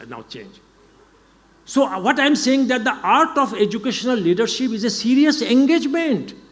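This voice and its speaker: There is noticeable background noise and audible room echo. A man with an extremely high pitch and lively intonation speaks at a moderate pace. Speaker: education leader. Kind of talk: lecture.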